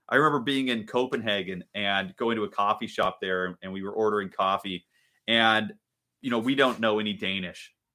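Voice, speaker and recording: A man speaks in a fairly low pitch with an American accent. His pace is fairly quick, with ordinary pitch variation. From US Pacific Northwest, Seattle area. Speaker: pastor. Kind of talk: sermon. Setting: recorded at home for online church. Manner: hesitant with many fillers.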